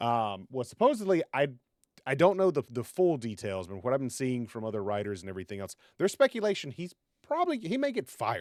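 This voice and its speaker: A man with a medium pitch speaks at a very fast pace, with very wide pitch swings and big swings in loudness. The recording is very clean with a silent background, and the sound is dry and close with no echo. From New England. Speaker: podcast co-host. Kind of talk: casual chat.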